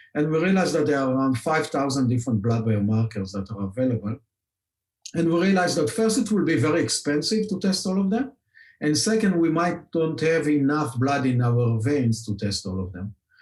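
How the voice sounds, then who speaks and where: Fairly quick, somewhat breathy male speech in an Israeli accent, fairly high in pitch with very wide pitch swings. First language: Hebrew. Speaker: scientist and company founder. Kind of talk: podcast interview. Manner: many filler words, hesitant.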